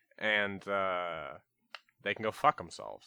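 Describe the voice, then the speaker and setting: At a moderate pace, a man talks with a Canadian accent. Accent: Canadian, close to Minnesota. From Canada. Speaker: podcast host. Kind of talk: casual comedic chat.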